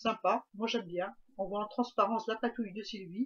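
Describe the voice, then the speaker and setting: A somewhat breathy woman's voice with a fairly high pitch. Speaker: craft youtuber. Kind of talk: craft tutorial. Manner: hesitant, many fillers.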